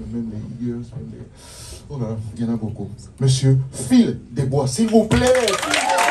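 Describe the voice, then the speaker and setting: In a non-native accent, a man speaks at a moderate pace, with audible room echo around him. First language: not French (speaking French). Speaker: band leader introducing musicians on stage. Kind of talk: live stage band introduction. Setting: stage with audience.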